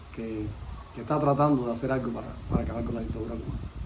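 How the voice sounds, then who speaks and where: A man rushes along at a very fast pace with fairly even intonation, over noticeable background noise and audible room echo. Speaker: interviewer. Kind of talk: interview.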